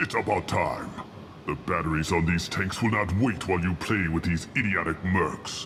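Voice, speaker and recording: A put-on character voice moves at a moderate pace with very even loudness. Clear background noise can be heard. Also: man, very deep, low pitch for a man. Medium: video game. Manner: haughty, measured.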